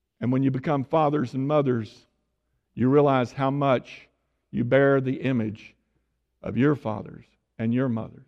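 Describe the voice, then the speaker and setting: With an East Texas accent, the speaker goes at a moderate pace with fairly even intonation and long, frequent pauses. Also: man, medium pitch for a man. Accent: East Texas Southern. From Tyler, Texas. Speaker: visiting preacher. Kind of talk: sermon.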